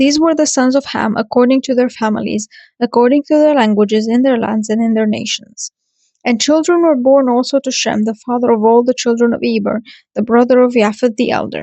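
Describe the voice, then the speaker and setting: Talking fairly quickly with a non-native accent, a woman with a high pitch keeps her intonation fairly even. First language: not English. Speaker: podcast host. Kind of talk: reading aloud. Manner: halting.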